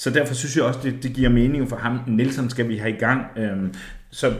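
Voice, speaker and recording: Audible room echo surrounds a man of medium pitch who speaks at a fairly quick pace with ordinary pitch variation. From East Jutland, Denmark. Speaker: football podcast co-host. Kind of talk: casual chat.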